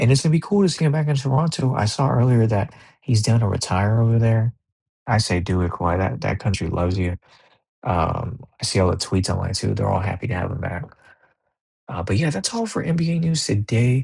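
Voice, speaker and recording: A man speaks at a fairly quick pace against a quiet background. His medium-pitched voice is somewhat breathy. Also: lively intonation. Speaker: basketball commentator YouTuber. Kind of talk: casual solo commentary vlog. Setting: home recording late at night. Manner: casual, profane.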